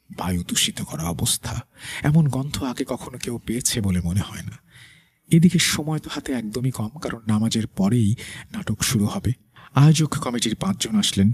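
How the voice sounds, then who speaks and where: Somewhat breathy, a man's medium-pitched voice moves through very wide pitch swings. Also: dry, close sound with no echo. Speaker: radio host. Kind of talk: horror story narration.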